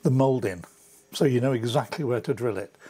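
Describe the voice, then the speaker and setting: A man is speaking. His voice is somewhat breathy. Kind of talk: tutorial. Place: garage. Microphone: lapel.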